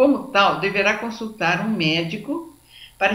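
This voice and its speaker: A woman with a Brazilian accent and lively intonation, amid noticeable background noise and audible room echo. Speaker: lecturer on anxiety. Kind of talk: lecture.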